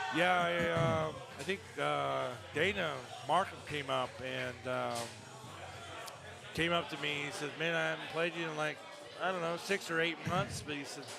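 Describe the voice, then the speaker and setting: Music plays in the background and there is audible room echo as a man speaks. He keeps a moderate pace, with long, frequent pauses. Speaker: foosball player and commentator. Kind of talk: live commentary chat. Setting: bar tournament. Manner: soft-spoken; halting. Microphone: too quiet.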